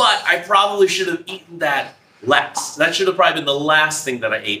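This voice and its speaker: Lively intonation carries a man's moderately paced speech, with audible room echo around it. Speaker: teacher vlogger. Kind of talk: casual vlog chat. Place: classroom. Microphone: camera far.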